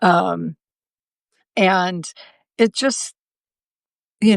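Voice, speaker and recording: A woman is speaking. The sound is dry and close, with no echo. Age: 70s. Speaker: knitting designer and livestream host. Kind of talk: casual live stream show and tell. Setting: live video stream. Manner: chatty, with frequent fillers.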